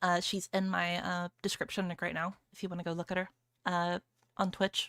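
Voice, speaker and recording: At a fairly quick pace, a woman mumbles on a very clean recording with a silent background and a dry, close sound with no echo. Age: 20s. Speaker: VTuber streamer. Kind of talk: casual livestream chat. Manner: mumbling. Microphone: close to mic, hides behind it.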